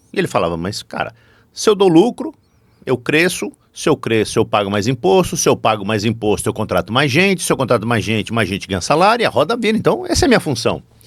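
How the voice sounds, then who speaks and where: A man at a medium pitch races along at a very fast pace, his pitch swinging very widely. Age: 60s. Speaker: business professor and corporate board advisor. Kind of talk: podcast interview. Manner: animated.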